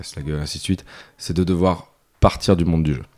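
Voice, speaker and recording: Ordinary pitch variation marks this man's very deep, low voice. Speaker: board game publisher. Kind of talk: casual interview. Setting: at a games festival.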